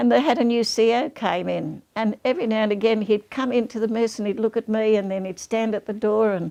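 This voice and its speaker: A woman speaks at a moderate pace with a fairly high pitch and ordinary pitch variation. Her tone is dark and mellow. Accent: Australian. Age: 90s. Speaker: war veteran. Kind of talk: interview storytelling.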